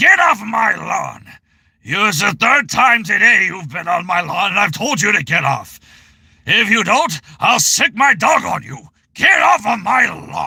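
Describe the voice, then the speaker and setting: Shouting in a put-on character voice, a man sounds grumpy, pitched high with very wide pitch swings, at a fairly slow pace. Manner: grumpy, shouting.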